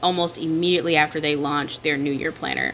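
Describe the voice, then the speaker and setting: In an American accent, a woman speaks at a fairly low pitch. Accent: Southern US, slight on camera. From US South. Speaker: digital planner shop owner and YouTuber. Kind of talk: casual vlog talk while planning. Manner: clear enunciation.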